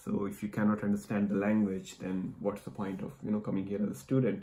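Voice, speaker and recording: The voice has a dark, mellow tone. Its pace is fairly quick. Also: man. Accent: Indian. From India. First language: Hindi. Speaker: immigration vlogger. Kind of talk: casual chat.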